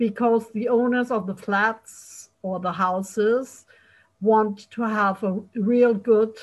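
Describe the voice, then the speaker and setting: Recorded very cleanly against a silent background, a woman speaks very slowly, somewhat breathy, at a fairly high pitch with ordinary pitch variation. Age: 50s. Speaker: podcast host. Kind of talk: casual interview.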